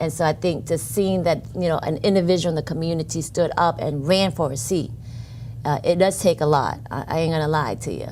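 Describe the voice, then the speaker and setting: With a Vietnamese accent, a woman with a very deep, low voice talks at a fairly quick pace with ordinary pitch variation. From New Orleans, Louisiana (from Vietnam age five). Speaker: city council member-elect, nonprofit director. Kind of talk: interview.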